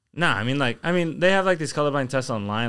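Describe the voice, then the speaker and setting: A man speaking at a very fast pace with lively intonation, on a very clean recording with a silent background. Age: 20s. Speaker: podcast co-host. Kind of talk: casual chat. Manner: heavy use of filler 'like'.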